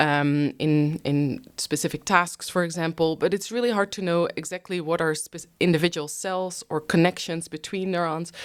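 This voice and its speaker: Here a woman speaks with a Dutch accent and a fairly low pitch. Her intonation is fairly even and her pace moderate. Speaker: neuroscientist. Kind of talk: interview. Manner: frequent fillers (um, uh).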